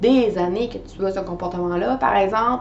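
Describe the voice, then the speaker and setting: Against noticeable background noise and audible room echo, a woman speaks at a moderate pace in a medium pitch with ordinary pitch variation. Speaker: life coach. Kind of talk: coaching video monologue. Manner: hesitant fillers.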